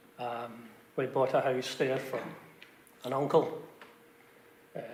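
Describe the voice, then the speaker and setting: A man's fairly high voice in a Glaswegian accent, fairly even in intonation and moderate in pace, with noticeable background noise and audible room echo. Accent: Glaswegian Scottish. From Scotland, Glasgow (Bridgeton). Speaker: village resident sharing memories. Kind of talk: group reminiscence interview. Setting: church.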